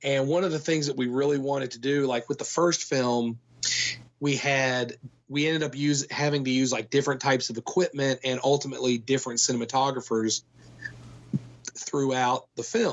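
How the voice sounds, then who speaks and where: An unremarkable speaking voice, this man with an American accent talks at a moderate pace and medium pitch with fairly even intonation. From Kentucky, United States. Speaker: film producer. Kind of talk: interview answer. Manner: conversational, casual.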